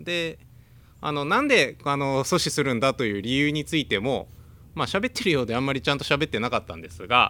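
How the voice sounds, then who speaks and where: Lively intonation marks this man's fairly high pitch and bright, sharp tone. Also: fairly quick pace. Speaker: news correspondent and podcast co-host. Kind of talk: casual news discussion podcast. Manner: frequent fillers, hesitant.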